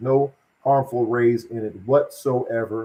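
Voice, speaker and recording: A man's medium-pitched, somewhat breathy voice with an animated tone. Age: 60s. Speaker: wellness product seller. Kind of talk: live stream sales pitch; casual chat. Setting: live video stream.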